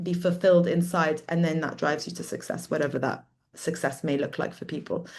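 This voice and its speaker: With a British accent, a woman talks at a fairly quick pace, her fairly low pitch held in fairly even intonation. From London, England. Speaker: artist. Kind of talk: talk on own work.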